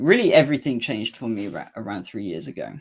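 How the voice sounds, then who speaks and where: A man with an East Anglian accent on a very clean recording with a silent background. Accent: Cambridge English. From England, Cambridge. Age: 20s. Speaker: musician and channel owner. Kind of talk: solo livestream talk. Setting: home livestream with guitar amp. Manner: hesitant, with fillers and restarts.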